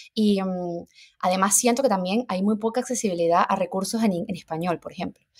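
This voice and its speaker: The speaker goes at a very fast pace, somewhat breathy, with ordinary pitch variation. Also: woman. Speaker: nutritionist. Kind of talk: casual interview chat.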